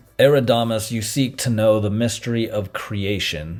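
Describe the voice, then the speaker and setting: Putting on a character voice, a man speaks resonantly at a medium pitch and moderate pace, with ordinary pitch variation. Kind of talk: mystical storytelling. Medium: read story. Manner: solemn, resonant.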